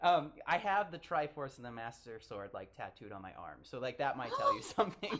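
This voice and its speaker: Against noticeable background noise, a man speaks fairly quickly with hardly any pauses, his fairly high voice making very wide pitch swings and big swings in loudness. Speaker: podcast host. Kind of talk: podcast interview questions.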